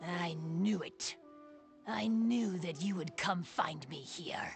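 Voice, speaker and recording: A put-on character voice at a middle pitch speaks at a very slow pace. Clear music plays in the background. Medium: video game. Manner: reserved, melancholy.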